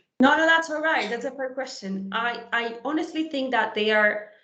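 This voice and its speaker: This is a woman speaking. Audible room echo hangs around her voice. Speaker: conference speaker on HR software. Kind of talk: webinar presentation and Q&A.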